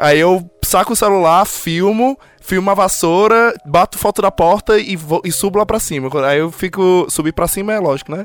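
The sound is dry and close with no echo. A man speaks at a high pitch with ordinary pitch variation. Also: moderate pace. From Ceará, Brazil. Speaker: podcaster living abroad. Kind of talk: casual chat.

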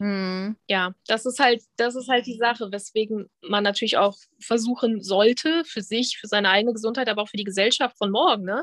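An ordinary speaking voice moves at a moderate pace with hardly any pauses. The sound is dry and close, with no echo. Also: woman, fairly high pitch for a woman, ordinary pitch variation. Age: 30s. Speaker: body-positivity influencer, former fitness trainer. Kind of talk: casual interview.

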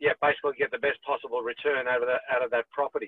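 This man talks at a very fast pace with an Australian accent. His medium-pitched voice stays monotone and flat. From Sydney, Australia. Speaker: property management business owner. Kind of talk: casual interview.

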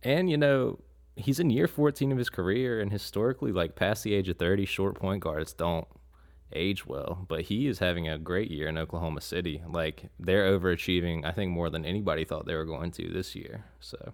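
A man's very deep, low voice with an American accent at a fairly quick pace, in a very clean recording with a silent background. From North Carolina, Raleigh. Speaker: basketball fan guest. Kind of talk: casual chat.

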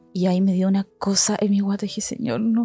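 A woman's fairly quick speech, dry and close with no echo, with music in the background. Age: 30s. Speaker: missionary leader. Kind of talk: testimony.

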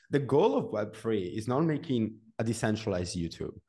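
Over a quiet background, a man with an Italian accent talks at a moderate pace, his dark, mellow tone carried by lively intonation. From Italy, Genoa. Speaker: developer and content creator. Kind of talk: interview.

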